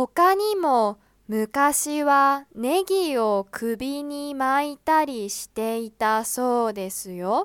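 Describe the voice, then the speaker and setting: At a very slow pace yet with hardly any pauses, a woman speaks in a high pitch and lively intonation, with a dry, close sound and no echo. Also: big swings in loudness. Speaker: Japanese language teacher podcaster. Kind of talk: scripted narration for language learners. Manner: slow, clear.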